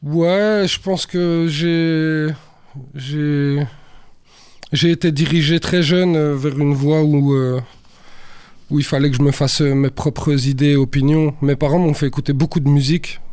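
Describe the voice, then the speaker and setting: A man speaks very slowly at a fairly high pitch. His loudness stays very even and his intonation fairly even. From Brussels, Belgium (Saint-Josse). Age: 40s. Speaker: rapper. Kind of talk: casual interview.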